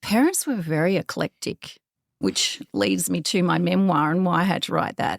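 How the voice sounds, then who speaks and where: A woman speaks with an Australian accent at a moderate pace. The sound is dry and close, with no echo. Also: very even loudness. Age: 50s. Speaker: podcaster and author. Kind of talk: interview. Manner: energetic.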